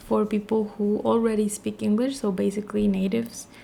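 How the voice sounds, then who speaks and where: A woman with a Spanish accent talks at a moderate pace in a medium pitch. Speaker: vlogger. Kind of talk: casual vlog monologue.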